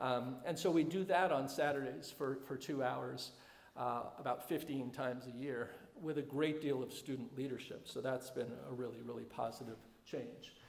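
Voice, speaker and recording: Vocal fry marks this man's medium-pitched voice, heard with audible room echo. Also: ordinary pitch variation. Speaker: head of school. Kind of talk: presentation to alumni. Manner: fast; halting, many fillers.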